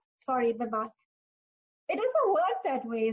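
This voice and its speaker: A woman's high-pitched voice at a moderate pace, with lively intonation. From Pakistan. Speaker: career coach and author. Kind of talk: interview.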